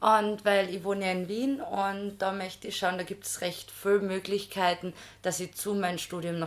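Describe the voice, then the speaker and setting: Recorded very cleanly against a silent background, a woman with medium pitch speaks at a moderate pace in an unremarkable speaking voice. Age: 20s. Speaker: master's student in social work. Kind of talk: personal testimony in casual interview.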